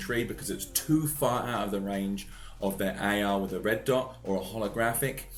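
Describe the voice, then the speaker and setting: Audible room echo around a man's speech, pitch varying in an ordinary way. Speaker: gaming youtuber. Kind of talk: tutorial. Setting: at home, baby asleep upstairs. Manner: quiet.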